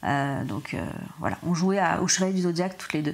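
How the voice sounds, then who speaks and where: With music behind her, a woman talks in a medium pitch whose variation is ordinary. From southern France (Montpellier). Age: 30s. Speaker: podcast guest. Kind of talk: personal testimony interview. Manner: halting, many hesitations.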